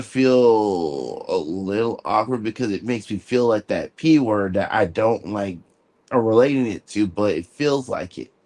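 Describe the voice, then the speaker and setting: A man's voice against a quiet background. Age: 40s. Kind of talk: casual chat. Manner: animated.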